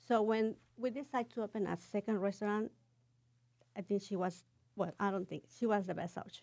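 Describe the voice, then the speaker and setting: A woman's dark, mellow voice with a Mexican accent, medium in pitch, fairly quick in pace with long, frequent pauses and fairly even intonation. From Cuernavaca, Morelos, Mexico. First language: Spanish. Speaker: restaurant owner. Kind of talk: casual interview.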